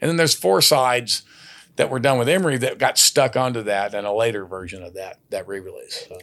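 With a Texas accent, a man talks at a fairly quick pace with lively intonation. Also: medium pitch for a man, big swings in loudness. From Texas, San Antonio. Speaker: country singer-songwriter. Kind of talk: casual chat.

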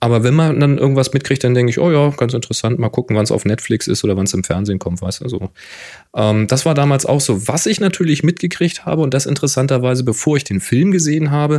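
At a very fast pace, a man talks with lively intonation at a medium pitch. His tone is dark and mellow. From Germany, Hamburg. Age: 40s. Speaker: photographer and podcaster. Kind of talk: casual chat.

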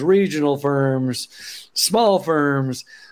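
This man speaks with an Oklahoma accent. His pitch is fairly high, with ordinary pitch variation. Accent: Oklahoman. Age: 50s. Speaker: accountant and business founder. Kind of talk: casual interview chat.

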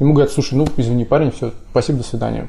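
A man speaks very fast in a fairly high pitch with ordinary pitch variation. His tone is dark and mellow. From Russia. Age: 30s. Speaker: website founder and entrepreneur. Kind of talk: podcast interview.

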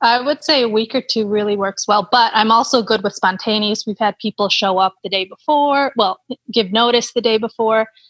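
This is a plain, everyday voice with an American accent, at a moderate pace and with fairly even intonation. The loudness stays very even, with a dry, close sound and no echo. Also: woman, fairly high pitch for a woman. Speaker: cycling tourist host. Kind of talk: casual interview.

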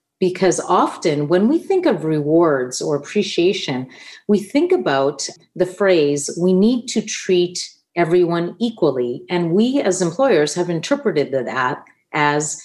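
Her intonation is lively, while her loudness stays very even. The woman's pitch is fairly low. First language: Italian. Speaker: business consultant. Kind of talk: interview.

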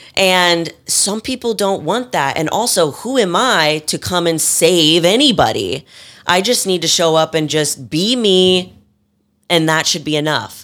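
At a fairly slow pace, a woman speaks in a normal speaking voice with lively intonation. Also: fairly low pitch for a woman. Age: 20s. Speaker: fitness competitor. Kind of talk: casual chat.

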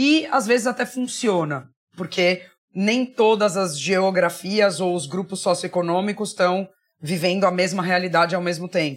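A woman talks fairly slowly in an unremarkable speaking voice at a medium pitch, with ordinary pitch variation. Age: 40s. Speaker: marketing executive. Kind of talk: interview.

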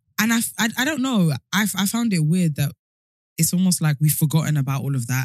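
In a British accent, a woman with a fairly low, somewhat breathy voice speaks at a fairly quick pace with very wide pitch swings, the sound dry and close with no echo. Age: 30s. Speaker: podcast host. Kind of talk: casual chat. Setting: studio.

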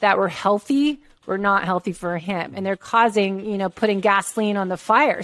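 A plain, everyday voice from a woman with a medium pitch, fairly even intonation and a moderate pace against a quiet background. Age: 50s. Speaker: health coach and former personal trainer. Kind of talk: interview.

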